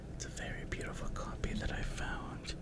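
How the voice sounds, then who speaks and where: Noticeable background noise fills the recording. Over it, the words are whispered. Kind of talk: ASMR reading of facts while eating.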